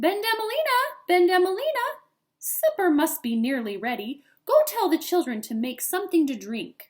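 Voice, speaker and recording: A woman puts on a squeaky character voice at an extremely high pitch with very wide pitch swings. She keeps a moderate pace. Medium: read story. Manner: brisk, motherly.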